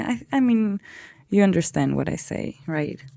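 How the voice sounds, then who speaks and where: Her tone is dark and mellow, with a non-native accent. The woman speaks at a fairly slow pace. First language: not English. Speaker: art youtuber. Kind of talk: casual talk while drawing. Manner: halting.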